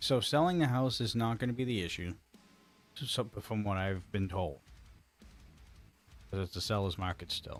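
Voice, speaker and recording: Over music in the background, a man speaks quietly at a fairly low pitch and a moderate pace, with lively intonation and long, frequent pauses. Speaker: gaming streamer. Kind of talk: live stream commentary. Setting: home streaming room. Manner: quiet, held-back.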